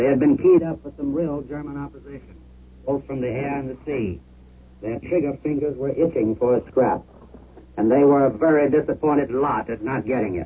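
In a normal speaking voice, the delivery moves at a fairly quick pace with ordinary pitch variation. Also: man, fairly high pitch for a man. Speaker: war correspondent. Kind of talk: eyewitness report.

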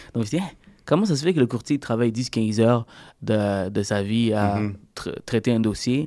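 A man's voice carries a dark, mellow tone. The recording is very clean, with a silent background. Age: 30s. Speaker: mortgage broker. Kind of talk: interview.

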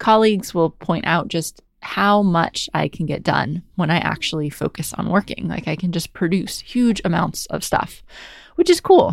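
On a very clean recording with a silent background, a woman with a plain, everyday voice speaks at a moderate pace, with a fairly low pitch and ordinary pitch variation. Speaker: podcast host. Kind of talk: solo monologue podcast episode, personal reflection. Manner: casual, conversational, laughs often.

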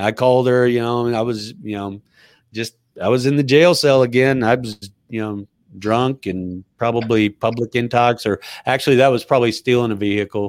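With an American accent, a man speaks at medium pitch and moderate pace in a dry, close sound with no echo, on a very clean recording with a silent background. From Southern California. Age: 50s. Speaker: army veteran and real estate entrepreneur. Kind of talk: casual interview conversation. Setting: live video podcast. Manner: animated.

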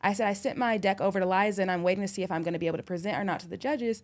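A woman with a Californian accent, medium pitch and a very fast pace. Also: very clean recording, silent background. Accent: Californian American English. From California, Orange County. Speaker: rolling paper company founder. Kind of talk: casual interview chat.

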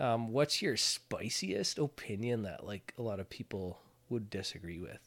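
Fairly low man's voice with an Ontario accent, ordinary pitch variation and a moderate pace. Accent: Canadian (Ontario). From Ontario, Canada. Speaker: podcast co-host. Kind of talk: casual chat.

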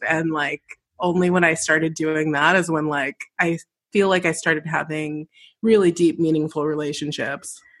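A woman in an unremarkable speaking voice talks at a moderate pace, her fairly low pitch held in fairly even intonation. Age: 30s. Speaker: podcast host and musician. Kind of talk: casual chat.

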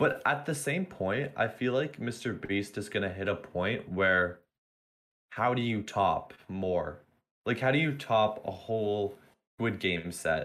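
A man speaks at a fairly slow pace in a fairly low pitch. His is an unremarkable speaking voice. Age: young. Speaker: student. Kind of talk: casual chat.

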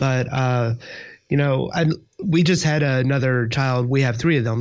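A man speaks with an American accent at a moderate pace and medium pitch. He has a plain, everyday voice with fairly even intonation. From US South, Georgia/Kentucky. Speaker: panelist, Ruby developer. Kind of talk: casual chat. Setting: video call.

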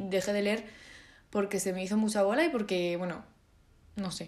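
Audible room echo follows a woman with a medium pitch as she speaks at a fairly quick pace. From Spain. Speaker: podcaster. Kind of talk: solo casual monologue. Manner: hesitant, many fillers.

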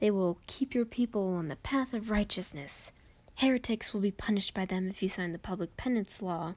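Recorded very cleanly against a silent background, a woman talks at a fairly quick pace in a medium pitch, somewhat breathy, with ordinary pitch variation. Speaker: gaming video creator. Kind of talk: reading aloud. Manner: fast.

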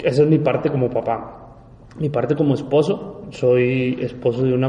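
Here is a man with a medium pitch. His intonation stays fairly even. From Mexico, Monterrey. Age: 40s. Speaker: life coach and businessman. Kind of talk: interview conversation.

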